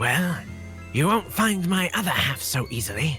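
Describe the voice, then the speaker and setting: A man's fairly high, put-on character voice at a moderate pace, with clear music in the background. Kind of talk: improvised game character voice. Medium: role play.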